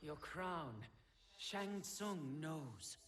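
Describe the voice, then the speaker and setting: A man does a put-on character voice at a fairly high pitch. There is audible echo. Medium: video game. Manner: proud, measured.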